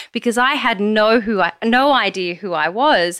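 With an Australian accent, a woman speaks in a bright, sharp tone with ordinary pitch variation, recorded very cleanly against a silent background. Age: 30s. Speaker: podcaster and yoga teacher in addiction recovery. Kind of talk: interview testimony.

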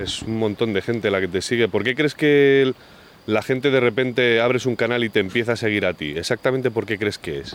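Fairly quick speech from a man at medium pitch, ordinary pitch variation, noticeable background noise behind. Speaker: podcast host. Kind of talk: interview; scripted narration. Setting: outdoors.

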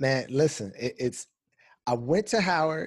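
An ordinary speaking voice from a man with an American accent, at a moderate pace with lively intonation, over a quiet background. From Southern California (Los Angeles, Pasadena). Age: 30s. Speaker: attorney and mediator, fatherhood blogger. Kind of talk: casual interview conversation.

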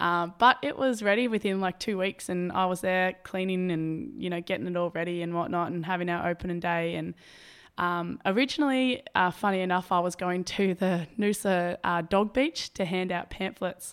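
A woman at medium pitch in an Australian accent, moderate in pace with ordinary pitch variation, very clean recording with a silent background. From Albury, New South Wales, Australia. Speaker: veterinary nurse and personal trainer. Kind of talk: casual interview. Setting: indoor room by the beach. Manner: animated.

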